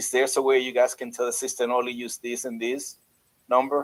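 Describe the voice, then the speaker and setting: Fairly quick talk from a man at a medium pitch. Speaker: business owner asking support questions. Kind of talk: tech support Q&A call. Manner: fast.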